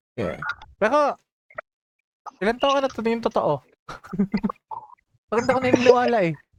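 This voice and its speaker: The speech moves at a fairly quick pace, broken by long, frequent pauses. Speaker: gaming streamer. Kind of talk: casual chat.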